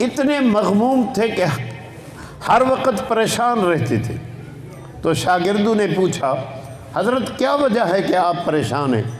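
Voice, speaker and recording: A man's high voice with very wide pitch swings and very even loudness, broken by long, frequent pauses, amid noticeable background noise and audible room echo. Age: 70s. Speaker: Islamic scholar, hadith teacher. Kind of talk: religious lecture on hadith.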